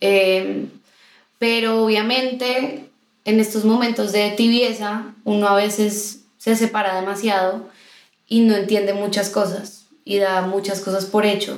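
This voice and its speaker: Amid audible room echo, a woman speaks very slowly at a medium pitch, her intonation monotone and flat and her loudness very even. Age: 20s. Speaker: singer, guest sharing her faith story. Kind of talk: casual chat, personal testimony. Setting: recorded in person with hosts.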